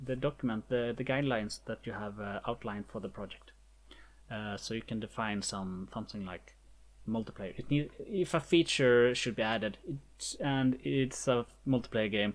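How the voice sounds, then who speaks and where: A speaker with a non-native accent is heard in a very clean recording with a silent background. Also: moderate pace. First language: not English. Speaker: indie game developer. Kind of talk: tutorial. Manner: halting.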